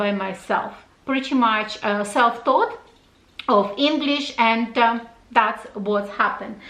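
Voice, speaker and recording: A woman speaks at a fairly slow pace in a high pitch with ordinary pitch variation, amid noticeable background noise and audible room echo. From Russia. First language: Russian. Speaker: fashion YouTuber. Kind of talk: casual Q&A vlog.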